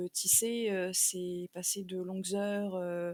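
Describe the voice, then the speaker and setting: The speech goes at a very slow pace, with a dry, close sound and no echo. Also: woman. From southern France, Marseille. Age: 30s. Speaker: textile artist, weaver. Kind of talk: podcast interview. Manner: hesitant, many fillers.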